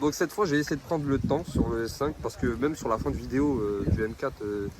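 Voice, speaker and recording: A man at a medium pitch talks at a fairly quick pace with lively intonation, with noticeable background noise behind him. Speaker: car vlogger. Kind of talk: casual vlog chat. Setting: outdoors. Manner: animated.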